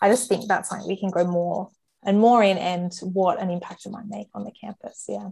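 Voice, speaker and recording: With a dark, mellow tone and vocal fry, a woman speaks at a medium pitch and moderate pace, keeping her intonation fairly even while her loudness swings widely. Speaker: campus ministry staff worker. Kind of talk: panel discussion, prayer.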